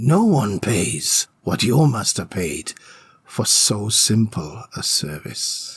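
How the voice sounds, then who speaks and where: In a put-on character voice, a man growls at medium pitch, gruff and very slow, with very wide pitch swings. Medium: read story. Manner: gruff, commanding, growling.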